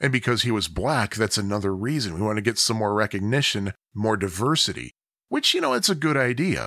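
Man with an American accent, bright and sharp in tone with lively intonation, dry and close with no echo, on a very clean recording with a silent background. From US Midwest, Chicago area. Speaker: podcaster. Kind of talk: solo autobiographical monologue. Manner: casual, chatty.

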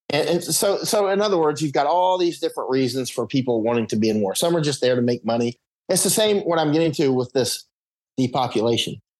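The delivery is very fast with lively intonation and very even loudness. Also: man, fairly high pitch for a man. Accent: American. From Florida. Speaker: war correspondent. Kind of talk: casual chat. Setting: remote call from Panama Canal. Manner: rambling, halting with fillers.

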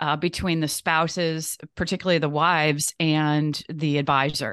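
Against a quiet background, a woman with a plain, everyday voice talks at a fairly low pitch and a moderate pace, the sound dry and close with no echo. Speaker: financial firm managing director, CPA. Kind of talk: casual interview chat.

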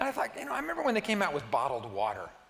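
Noticeable background noise fills the clip. A man is the one speaking. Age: 60s. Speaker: pastor. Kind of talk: sermon. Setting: church.

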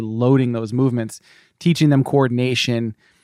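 A man with an American accent uses a plain, everyday voice at a medium pitch and fairly even intonation, captured dry and close with no echo in a very clean recording with a silent background. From US Northeast (Cape Cod, Massachusetts). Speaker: personal trainer. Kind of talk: casual interview.

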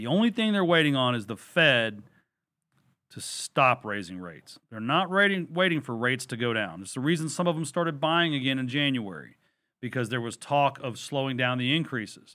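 In a Texan accent, the speaker talks at a fairly quick pace with lively intonation. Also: man, medium pitch for a man. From Texas. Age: 40s. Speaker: real estate investor and lender, former Marine. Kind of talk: interview.

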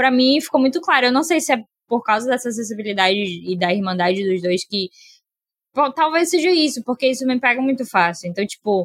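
A woman's high voice swings very widely in pitch at a fairly quick pace. The sound is dry and close, without echo. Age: 20s. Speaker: film podcast guest. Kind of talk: casual chat.

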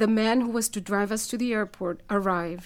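The speaker has a Spanish accent and a moderate pace. Pitch varies in an ordinary way. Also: woman. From El Salvador. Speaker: writer. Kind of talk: reading aloud.

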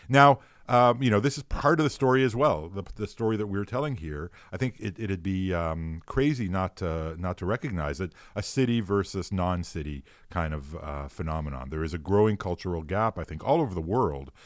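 A man's very deep, low pitch with very wide pitch swings, at a fairly quick pace, on a very clean recording with a silent background. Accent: Montreal. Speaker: philosopher, law professor. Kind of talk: casual chat. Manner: hesitant, many fillers.

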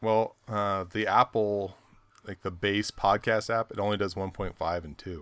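Speaking in a normal speaking voice at a fairly slow pace, a man uses a fairly low pitch and fairly even intonation, with big swings in loudness and a dry, close sound with no echo. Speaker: podcast host. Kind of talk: casual banter podcast chat.

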